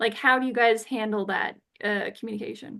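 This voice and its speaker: A woman's fairly high voice against a quiet background. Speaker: neurodivergent podcast host. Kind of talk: casual chat. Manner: fast; hyperverbal.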